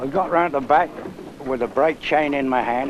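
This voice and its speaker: A man with a medium pitch and ordinary pitch variation talks through noticeable background noise. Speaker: retired marshman. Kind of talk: reminiscing storytelling.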